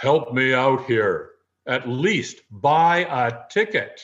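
Using a put-on character voice, a man booms at a medium pitch and a very slow pace.

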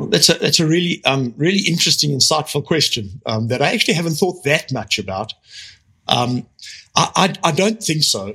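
With vocal fry and very wide pitch swings, a man with a fairly high pitch talks at a fairly quick pace. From South Africa. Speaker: power grid research executive. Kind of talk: interview.

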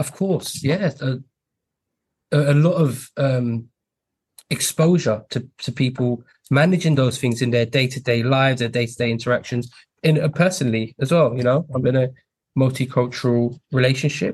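A man speaks at a moderate pace with a medium pitch and ordinary pitch variation. His voice is somewhat breathy. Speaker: podcast host. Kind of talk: interview, hosting.

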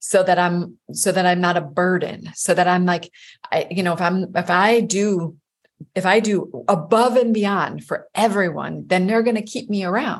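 A woman with a medium-pitched, somewhat breathy voice talks at a moderate pace with ordinary pitch variation. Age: 50s. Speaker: life coach. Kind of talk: casual interview chat.

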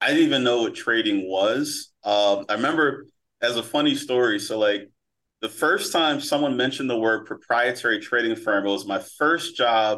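A man with an American accent has an unremarkable speaking voice at a medium pitch. He keeps a moderate pace with ordinary pitch variation. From Philadelphia, US. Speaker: prop trading firm owner and trading coach. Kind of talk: interview, casual storytelling.

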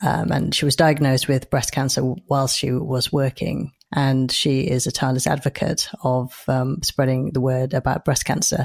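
In a dry, close recording with no echo, a woman speaks with a very deep, low pitch and vocal fry. Her delivery is monotone and flat, at a moderate pace with very even loudness. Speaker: podcast host and breast cancer surgeon. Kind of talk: interview.

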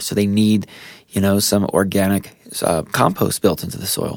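Against a very clean, silent background, a man with an ordinary speaking voice talks at a moderate pace in a fairly low pitch. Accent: American. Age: 30s. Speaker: lawn care professional. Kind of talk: casual tutorial monologue. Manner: relaxed with frequent fillers and repetitions.

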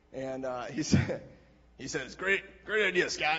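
Vocal fry with an American accent. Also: man. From Wisconsin, small town. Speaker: church member giving testimony. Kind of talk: testimony.

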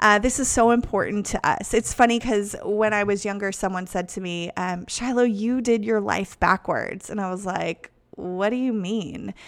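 With an American accent, a woman of medium pitch speaks at a moderate pace with fairly even intonation and hardly any pauses. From United States. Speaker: podcast host and pastor. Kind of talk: casual monologue.

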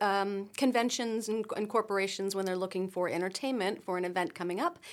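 In a very clean recording with a silent background, a woman talks in a plain, everyday voice at a medium pitch with ordinary pitch variation. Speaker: singer and graphic designer. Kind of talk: casual chat. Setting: studio.

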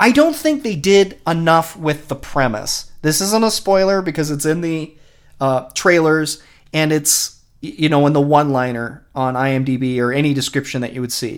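In a very clean recording with a silent background, a man has an unremarkable speaking voice at a fairly high pitch with ordinary pitch variation. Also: moderate pace. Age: 40s. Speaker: podcast co-host. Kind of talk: casual chat.

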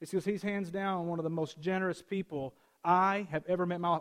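Here a man speaks at a high pitch with ordinary pitch variation, captured on a very clean recording with a silent background. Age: 30s. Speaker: pastor. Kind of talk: sermon. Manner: casual, direct.

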